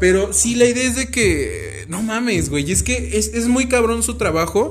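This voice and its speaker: Noticeable background noise surrounds a man speaking in an animated tone at a fairly slow pace. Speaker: podcast host. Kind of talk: casual chat.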